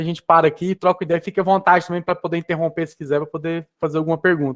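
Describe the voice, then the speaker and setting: A man speaks very fast at a high pitch, with monotone, flat intonation. His loudness swings widely, and the sound is dry and close with no echo. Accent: strong Goiânia. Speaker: esports business executive. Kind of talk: presentation with slides. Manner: casual, hesitant with fillers.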